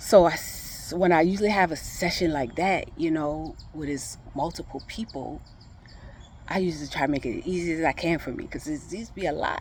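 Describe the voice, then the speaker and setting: Vocal fry runs through this fairly quick delivery in a South Louisiana accent. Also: woman. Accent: Southern US, South Louisiana. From Thibodaux, Louisiana. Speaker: emotional recovery facilitator. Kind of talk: casual talk to camera.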